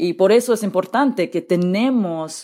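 Spoken at a fairly slow pace with ordinary pitch variation, this comes across in a very clean recording against a silent background. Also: woman. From California Central Valley. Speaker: politician, gubernatorial candidate. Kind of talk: interview. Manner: halting.

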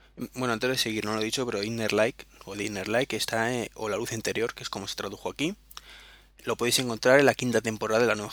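Very fast and with fairly even intonation, a man talks at a medium pitch. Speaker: podcast host. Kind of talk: solo podcast monologue. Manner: halting.

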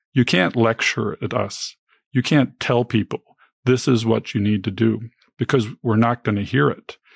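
An unremarkable speaking voice at a moderate pace with ordinary pitch variation, in a very clean recording with a silent background and a dry, close sound with no echo. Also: man, medium pitch for a man. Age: 50s. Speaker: early retiree. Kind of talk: interview.

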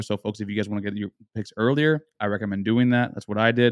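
A man speaks at a very fast pace with a fairly low pitch. The background is quiet, and the sound is dry and close with no echo. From South Florida. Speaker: college football podcast analyst. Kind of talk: casual sports chat. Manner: animated.

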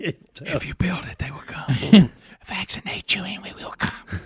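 A put-on character voice is heard whispering. The pace is moderate. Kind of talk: ominous, eerie. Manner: whispering, maniacal.

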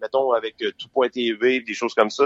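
This is a man speaking at medium pitch. He has a Quebec accent. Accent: Québécois French. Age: 40s. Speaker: podcast host. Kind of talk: casual interview. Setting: phone call.

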